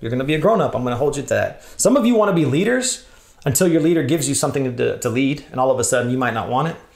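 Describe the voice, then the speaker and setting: Very fast, lively speech in an American accent, with audible room echo. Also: man, fairly high pitch for a man. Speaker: church leader, workshop speaker. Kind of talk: conference workshop talk.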